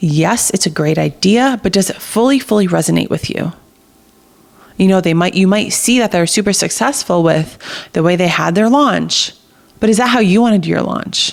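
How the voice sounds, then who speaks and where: The tone is animated and energetic, with vocal fry and an American accent. Pacing is moderate, and the pitch varies an ordinary amount. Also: woman, medium pitch for a woman. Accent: New Jersey accent, comes out when excited. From New Jersey. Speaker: podcast host. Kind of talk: motivational podcast monologue. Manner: animated, energetic; partly reading aloud.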